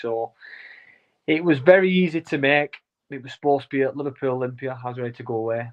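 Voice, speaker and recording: Here is a man with a Lancashire accent. His pitch is medium and his pace fairly quick. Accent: Wigan. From Wigan, northern England. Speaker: professional boxer. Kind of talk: interview.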